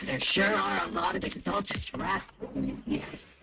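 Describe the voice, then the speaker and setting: A man puts on a raspy character voice at a moderate pace. Background noise is clearly heard. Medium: video game. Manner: cocky, aggressive.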